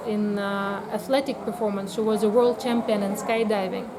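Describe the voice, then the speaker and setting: A woman with a Russian accent speaks at a fairly slow pace in a fairly high pitch, her intonation monotone and flat. Noticeable background noise sits behind her. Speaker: biotherapy practitioner. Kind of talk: interview. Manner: hesitant, many fillers.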